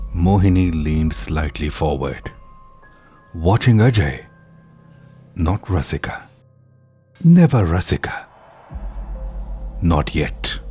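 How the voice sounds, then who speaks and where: With music in the background, a man with a very deep, low pitch speaks at a very slow pace, using lively intonation and long, frequent pauses. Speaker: horror story narrator. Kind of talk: horror story narration.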